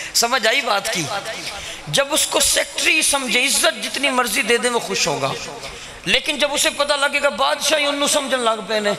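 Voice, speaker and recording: Raising and projecting his voice, a man speaks at an extremely high pitch with very even loudness and a moderate pace over noticeable background noise. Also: ordinary pitch variation. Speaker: Islamic cleric. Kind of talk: religious speech. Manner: animated.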